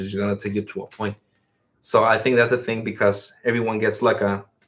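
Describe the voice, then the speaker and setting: Speaking in a monotone, a man with a Spanish accent keeps a fairly low pitch and flat intonation. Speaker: podcast co-host. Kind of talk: casual chat. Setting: live stream.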